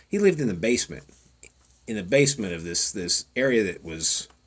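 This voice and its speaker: A man's fairly low voice at a moderate pace, with lively intonation and a Southern Plains accent. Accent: Southern Plains American. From Oklahoma Panhandle. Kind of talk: storytelling. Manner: casual, rambling.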